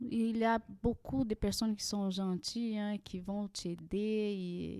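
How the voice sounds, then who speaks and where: A woman's medium-pitched voice, dark and mellow in tone, with a Portuguese accent, fairly even intonation and a very slow pace. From Brazil. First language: Portuguese (speaking French). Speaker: immigrant guest. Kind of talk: podcast interview. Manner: halting, with many hesitations.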